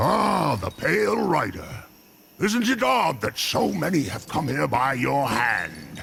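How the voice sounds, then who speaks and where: A put-on character voice from a man, medium in pitch, at a fairly slow pace with very wide pitch swings. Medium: video game. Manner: sly, amused, musing.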